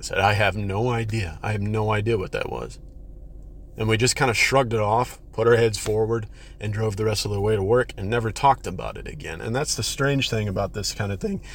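A man speaks at a moderate pace in a fairly low voice. His intonation stays fairly even. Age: 30s. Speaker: listener sharing experience. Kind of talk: testimony. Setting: recorded voice message. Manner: halting.

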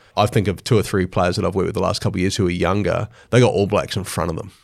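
A man's fairly low-pitched voice with a New Zealand accent, on a very clean recording with a silent background. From New Zealand, Hawke's Bay. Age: 40s. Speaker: sports mental skills coach. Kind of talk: podcast interview. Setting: studio.

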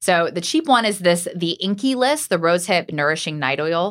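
Using an ordinary speaking voice, a woman talks at a fairly low pitch with lively intonation. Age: 40s. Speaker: podcast host, TV news anchor. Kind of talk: casual chat.

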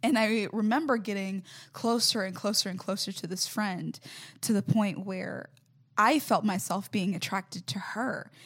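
On a very clean recording with a silent background, a somewhat breathy woman speaks at a medium pitch and moderate pace with ordinary pitch variation. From US South, Mobile, Alabama. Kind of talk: casual interview. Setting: parish.

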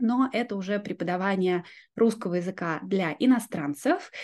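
Against a quiet background, a woman speaks at a moderate pace in a medium-pitched voice with lively intonation. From southern Russia (Yeysk, Azov Sea coast). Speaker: Russian language teacher and YouTuber. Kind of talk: casual interview.

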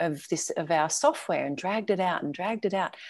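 A woman speaks with an Australian accent and lively intonation. Her tone is dark and mellow. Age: 50s. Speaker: travel lifestyle coach. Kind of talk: interview.

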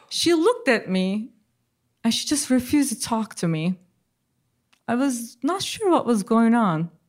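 A woman with a Turkish accent speaks at a fairly slow pace and high pitch, with very wide pitch swings and long, frequent pauses, on a very clean recording with a silent background. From Turkey. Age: 40s. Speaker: social scientist. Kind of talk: storytelling. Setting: stage with audience.

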